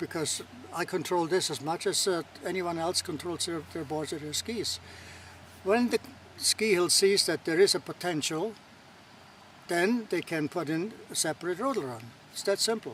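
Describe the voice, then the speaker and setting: A man speaks in a high voice. He leaves long, frequent pauses. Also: ordinary pitch variation, moderate pace. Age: 80s+. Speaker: rodel activist. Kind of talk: interview answer.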